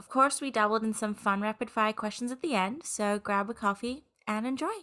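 A woman with an Australian accent at a very fast pace, fairly high-pitched with a bright, sharp tone and ordinary pitch variation. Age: 20s. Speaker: podcast host. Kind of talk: casual chat; scripted intro and outro. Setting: video call.

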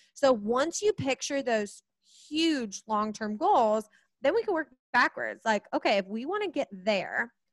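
Speaking with an American accent, a woman uses a high pitch with very wide swings and an energetic tone at a fairly slow pace, in a dry, close sound with no echo. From US Midwest, Kansas City. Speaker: money coach. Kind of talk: casual interview.

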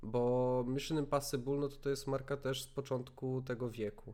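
In an unremarkable speaking voice, a man with a fairly high pitch talks at a fairly slow pace with fairly even intonation, on a very clean recording with a silent background. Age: 20s. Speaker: podcast host. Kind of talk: casual chat.

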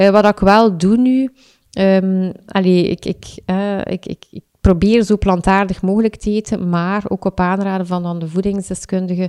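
A woman with a Flemish accent speaks at a fairly slow pace in a medium pitch with a dark, mellow tone. Her intonation is monotone and flat, and the sound is dry and close with no echo. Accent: Flemish Dutch. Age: 30s. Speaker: freelance copywriter and amateur marathon runner. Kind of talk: casual interview. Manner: halting, many fillers and repetitions.

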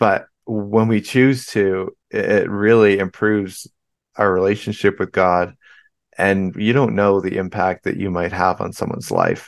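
A man speaks at a fairly low pitch and a fairly slow pace. His intonation is monotone and flat over a quiet background. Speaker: podcast host. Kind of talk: interview. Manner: sluggish.

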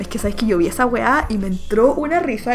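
A woman with a Chilean accent at a fairly quick pace, very wide pitch swings, and noticeable background noise. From Chile, Santiago (Maipú). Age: 20s. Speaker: English teacher living abroad. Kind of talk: casual chat.

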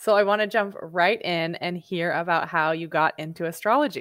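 Speaking at a moderate pace with ordinary pitch variation, this is a plain, everyday voice. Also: woman. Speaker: podcast host. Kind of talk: casual interview.

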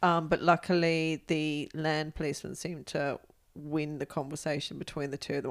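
With vocal fry and a very deep, low pitch, a woman speaks at a moderate pace with ordinary pitch variation. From England. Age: 50s. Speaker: adventurer. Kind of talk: casual interview.

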